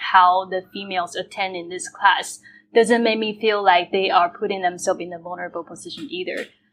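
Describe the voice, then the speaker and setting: A woman speaks with a Chinese accent. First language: Mandarin Chinese. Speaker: podcast host. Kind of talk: interview.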